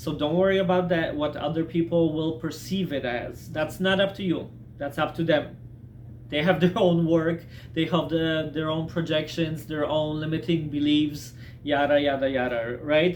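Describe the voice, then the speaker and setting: This is an ordinary speaking voice at a moderate pace. Its intonation is fairly even. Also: man, fairly high pitch for a man. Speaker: self-help video maker. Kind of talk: casual talking-head advice monologue. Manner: conversational with many fillers.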